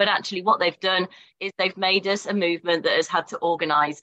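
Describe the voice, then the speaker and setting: A woman speaks in a passionate tone at medium pitch. Her intonation stays fairly even. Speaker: teachers' union vice president. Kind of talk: rally speech.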